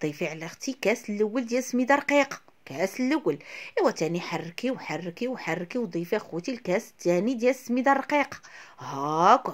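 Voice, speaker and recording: A woman with a Moroccan accent speaks at a fairly quick pace in a fairly high voice with very wide pitch swings. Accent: Moroccan Arabic (Darija). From Morocco. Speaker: cooking video host. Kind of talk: cooking tutorial. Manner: fast, chatty. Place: kitchen. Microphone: phone near.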